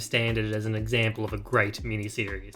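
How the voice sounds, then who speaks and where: A man speaks at a fairly quick pace. Behind him, music plays in the background. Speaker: TV and game reviewer. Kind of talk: casual review talk to camera.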